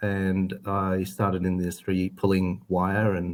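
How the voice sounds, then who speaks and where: A very deep, low-pitched man's voice in an Australian accent, monotone and flat, in a very clean recording over a silent background. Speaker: cable company executive. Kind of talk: interview. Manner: hesitant, many fillers.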